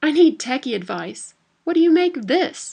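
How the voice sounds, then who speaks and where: Putting on a squeaky character voice, a woman speaks at a high pitch and a moderate pace with lively intonation. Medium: read story.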